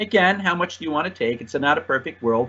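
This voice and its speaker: Lively intonation marks this man's American accent. He talks at a fairly quick pace. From New Jersey. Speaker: soccer referee clinician. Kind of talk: lecture. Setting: online meeting. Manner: halting, many fillers and restarts.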